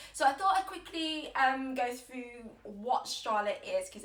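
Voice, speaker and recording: Noticeable background noise sits behind a woman speaking at a fairly slow pace. Her high voice moves in very wide pitch swings. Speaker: yoga teacher. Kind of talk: guided yoga class. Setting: at home, Instagram live stream. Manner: loud, projected.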